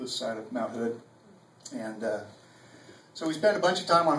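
Audible room echo and light background noise surround the man speaking. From Oregon, USA. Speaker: cowboy poet. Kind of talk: casual introduction to live audience. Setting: live venue with audience. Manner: humorous, self-deprecating. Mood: folksy, humorous. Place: bar. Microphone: camera far.

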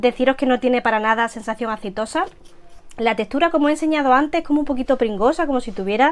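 Speaking at a very fast pace, a woman uses high pitch with ordinary pitch variation. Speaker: beauty vlogger. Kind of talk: casual product review chat. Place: home room.

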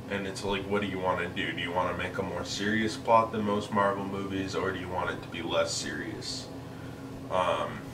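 Against noticeable background noise, a man with a fairly low pitch talks at a moderate pace. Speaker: movie reviewer. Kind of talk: casual film review commentary. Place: home room. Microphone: camera far.

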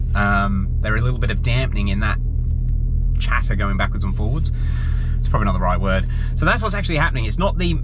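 A man talking at a very fast pace, a dry sound with no echo, noticeable background noise behind him. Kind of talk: casual vlog chat. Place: car. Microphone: phone near.

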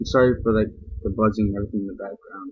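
The background is quiet throughout. A man is the speaker. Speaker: game commentator. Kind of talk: gameplay commentary. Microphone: webcam.

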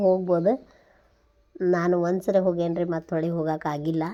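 This woman's voice has a dark, mellow tone. Her pitch sits in the medium range. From northern Karnataka, near Saundatti (Belagavi district). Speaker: vlogger, mother. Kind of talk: travel vlog narration. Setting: outdoors, traveling. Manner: conversational, informal.

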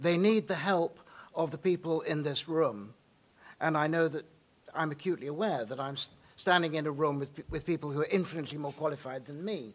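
There are long, frequent pauses as a man speaks at a moderate pace with ordinary pitch variation. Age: 60s. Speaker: theatre director; guest. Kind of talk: lecture. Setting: stage with audience. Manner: opinionated, passionate. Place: hall. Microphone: podium.

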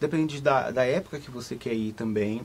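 This man's voice comes across somewhat breathy. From Brazil, Salvador (Bahia). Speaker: travel agent. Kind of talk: live studio interview. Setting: studio. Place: studio.

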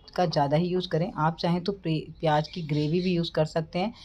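With a dark, mellow tone and a very deep, low pitch, a woman speaks with fairly even intonation over light background noise. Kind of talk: cooking tutorial. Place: kitchen.

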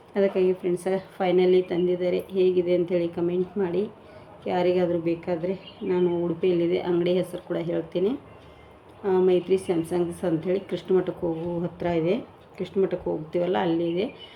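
A woman's fairly low, monotone voice with flat intonation, over noticeable background noise. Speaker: home cooking vlogger. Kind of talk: casual vlog chat.

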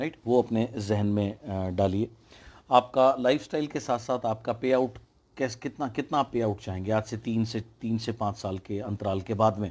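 Using a plain, everyday voice, a man talks at a moderate pace with a medium pitch and fairly even intonation. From India. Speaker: motivational speaker. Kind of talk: motivational talk. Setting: online livestream. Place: home room. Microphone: earbuds.

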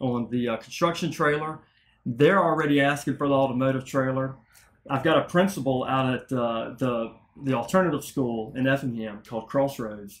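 Man at a moderate pace with ordinary pitch variation. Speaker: guest. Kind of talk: interview answer. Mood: upbeat, excited. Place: office. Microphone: studio mic.

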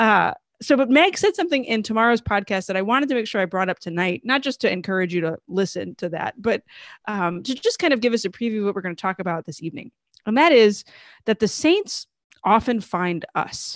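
A woman's lively intonation, with dry, echo-free sound and a quiet background. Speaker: show host. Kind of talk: live show introduction. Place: home room. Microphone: studio mic.

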